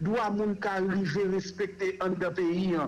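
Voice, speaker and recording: A man talks at a high pitch. Noticeable background noise runs underneath. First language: Haitian Creole (speaking French). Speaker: human rights organization director. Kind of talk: radio interview.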